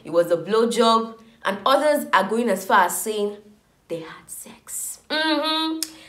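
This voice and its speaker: A woman is speaking. Room echo is audible. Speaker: reality TV vlogger. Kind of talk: casual vlog chat. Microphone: phone near.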